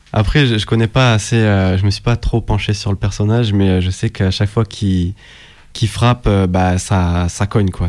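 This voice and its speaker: An ordinary speaking voice belongs to this man, whose pitch is fairly low and intonation fairly even. He goes at a fairly slow pace on a very clean recording with a silent background. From southern France, Nîmes. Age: 20s. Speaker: beatmaker. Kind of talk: radio interview.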